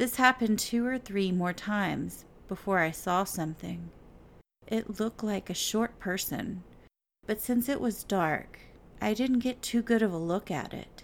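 A woman with a plain, everyday voice speaks at a medium pitch and a fairly slow pace, with ordinary pitch variation, on a very clean recording with a silent background. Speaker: podcast host. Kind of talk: horror story narration, read aloud in a hushed, suspenseful storytelling tone. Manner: slow, hushed, tense and building suspense.

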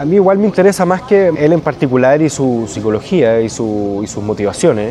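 A man in a Chilean accent with very wide pitch swings, amid noticeable background noise. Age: 40s. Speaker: writer. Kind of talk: interview. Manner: halting.

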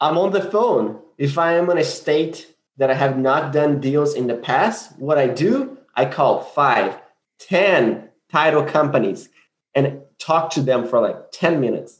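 A man with a Brazilian accent speaks at a fairly slow pace in a fairly high pitch, his loudness very even and his pitch varying in an ordinary way. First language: Portuguese. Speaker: land investor. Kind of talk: casual interview.

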